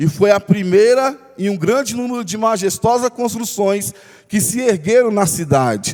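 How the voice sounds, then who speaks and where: Noticeable background noise surrounds a man speaking in a high voice. His intonation is lively. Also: fairly slow pace. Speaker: pastor. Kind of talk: bible study sermon.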